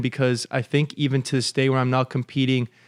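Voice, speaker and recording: In a very clean recording with a silent background, a man with a Californian accent speaks at a fairly quick pace and medium pitch, the sound dry and close with no echo. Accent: California American English. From Los Angeles, US. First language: Russian. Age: 20s. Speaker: commercial real estate broker and former college athlete. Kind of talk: podcast interview.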